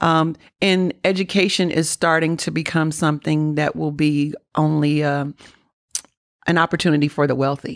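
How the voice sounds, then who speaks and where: A woman speaks with a very deep, low pitch. The sound is dry and close with no echo, against a quiet background. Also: moderate pace, very even loudness. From Kentucky, small coal-mining town. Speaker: business owner and author. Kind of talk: interview. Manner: animated.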